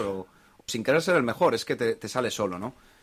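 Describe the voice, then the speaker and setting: A man speaks at a medium pitch and a fairly quick pace. He has a plain, everyday voice. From Spain, Basque Country (Bilbao). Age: 30s. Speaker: investor. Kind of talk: casual chat.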